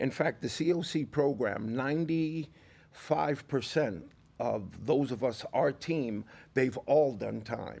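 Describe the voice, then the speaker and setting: On a very clean recording with a silent background, a man with an American accent and vocal fry speaks very slowly at a medium pitch with ordinary pitch variation. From New York. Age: 60s. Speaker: formerly incarcerated reentry advocate. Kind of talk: podcast interview. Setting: studio.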